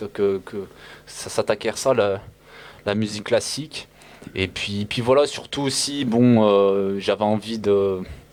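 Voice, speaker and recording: This man has a fairly low pitch and fairly even intonation. He talks at a very slow pace with long, frequent pauses. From France, Firminy (Loire, Rhône-Alpes). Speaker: beatboxer. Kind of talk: interview. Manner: halting.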